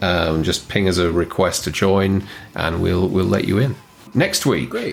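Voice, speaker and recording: Noticeable background noise sits behind the speaker. A man talks at a fairly slow pace in a fairly low voice. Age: 40s. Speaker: movie podcast co-host. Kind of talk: casual chat.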